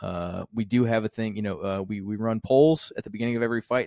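A man's medium-pitched voice with fairly even intonation and a dry, close sound with no echo. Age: 30s. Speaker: marketing director and streamer. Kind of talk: casual chat.

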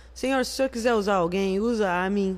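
Her voice is a normal speaking voice. The woman talks at a moderate pace with ordinary pitch variation. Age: 40s. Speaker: church music minister. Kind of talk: casual chat.

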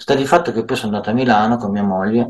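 A man's medium-pitched voice rises and falls with ordinary variation. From Milan, northern Italy. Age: 60s. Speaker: social care worker. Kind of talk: interview. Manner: halting, many fillers.

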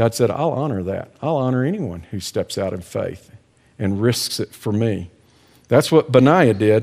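A man talks at a moderate pace in a plain, everyday voice with lively intonation. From Texas. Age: 60s. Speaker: ministry director and speaker. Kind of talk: devotional talk.

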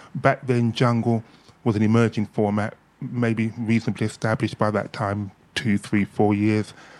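A man's fairly low voice at a moderate pace, monotone and flat, with very even loudness. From London, Hackney (Caribbean family). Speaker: reggae DJ and record label owner. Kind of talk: casual interview.

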